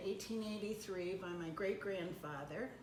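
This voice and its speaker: Over noticeable background noise, a woman with an American accent speaks at a medium pitch with fairly even intonation. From Michigan, US Midwest. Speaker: retired postmaster. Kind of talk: oral history interview.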